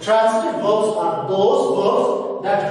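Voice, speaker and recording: A man's high-pitched voice in a room with strong echo, over light background noise. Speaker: school teacher. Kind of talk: lecture. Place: classroom. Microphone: camera far.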